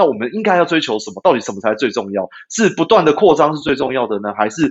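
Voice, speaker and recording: A man's fairly high voice with very wide pitch swings at a very fast pace. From Taiwan, Taipei. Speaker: dairy cattle veterinarian and company founder. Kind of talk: interview. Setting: remote connection. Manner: hesitant, many filler sounds.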